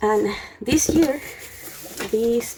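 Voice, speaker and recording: Very slow speech with a non-native accent over noticeable background noise. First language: not English. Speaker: YouTuber, student. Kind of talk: casual unboxing vlog. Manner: halting, many fillers.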